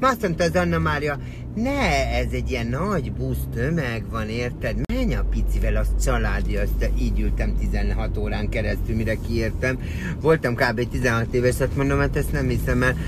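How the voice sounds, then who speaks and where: A man talks at a moderate pace over background music, the sound dry with no echo. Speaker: vlogger. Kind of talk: casual vlog chat, storytelling. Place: car. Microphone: phone near.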